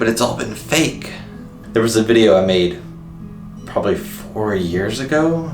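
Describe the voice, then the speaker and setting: A man's intonation is lively and his pace moderate as music plays in the background. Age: 20s. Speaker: vlogger. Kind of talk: casual talk to camera.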